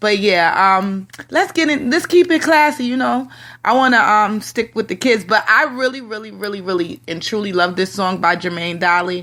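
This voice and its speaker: Recorded very cleanly against a silent background, the speaker has an American accent and a bright, sharp tone, moving at a moderate pace with very wide pitch swings. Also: woman, fairly high pitch for a woman. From Connecticut. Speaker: radio host. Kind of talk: radio talk show.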